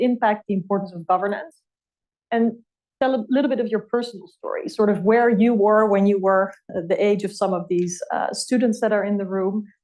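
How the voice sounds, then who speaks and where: Speaking with a European accent, a woman uses a fairly high pitch and ordinary pitch variation. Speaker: policy fellow and moderator. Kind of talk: fireside chat interview.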